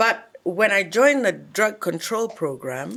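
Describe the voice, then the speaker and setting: In an English accent, a woman is talking. She keeps to a fairly slow pace. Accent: very English. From Kenya, Nyeri. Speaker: actress. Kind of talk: interview. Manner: clear enunciation.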